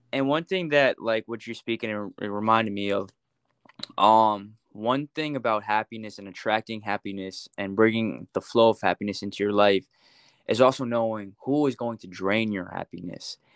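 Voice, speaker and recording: An ordinary speaking voice moves at a moderate pace with ordinary pitch variation and big swings in loudness. The sound is dry and close with no echo, against a quiet background. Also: man, fairly low pitch for a man. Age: 20s. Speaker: social media content creator. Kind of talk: casual interview.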